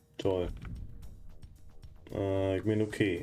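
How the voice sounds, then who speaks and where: With music in the background, a man speaks very slowly in a very deep, low pitch. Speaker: let's player. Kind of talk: casual gameplay commentary.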